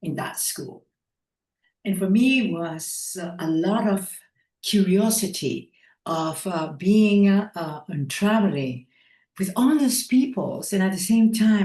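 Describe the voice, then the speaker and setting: A woman with a Spanish accent speaks fairly slowly at a medium pitch, somewhat breathy, in a dark, mellow tone with lively intonation. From Ecuador. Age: 70s. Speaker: breathwork trainer. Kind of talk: interview. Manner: halting.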